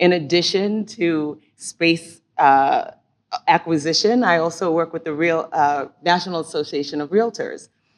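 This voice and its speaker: Against a quiet background, a woman in an unremarkable speaking voice talks at a fairly slow pace and fairly low pitch with ordinary pitch variation. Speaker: conference speaker on bias. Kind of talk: conference talk.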